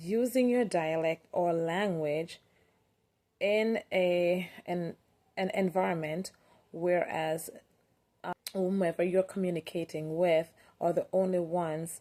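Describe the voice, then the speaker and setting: A woman speaks at a very slow pace. Her voice is fairly low in pitch, with a dark, mellow tone. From Jamaica. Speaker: teacher. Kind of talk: presentation. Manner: halting.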